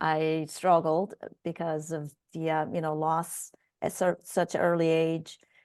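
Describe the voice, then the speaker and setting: A woman speaks with a Korean accent and a fairly low pitch. The background is quiet. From South Korea. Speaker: biotech executive. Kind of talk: interview.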